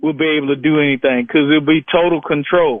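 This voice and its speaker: With an American accent and an unremarkable speaking voice, a man speaks at a moderate pace in a fairly high pitch with fairly even intonation. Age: 60s. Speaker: caller. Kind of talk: call-in radio talk.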